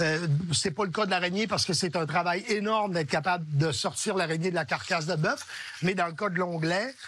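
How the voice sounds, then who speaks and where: Against noticeable background noise, a man with a high pitch talks at a fairly quick pace, his loudness very even. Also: ordinary pitch variation. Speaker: chef. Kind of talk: cooking show demonstration.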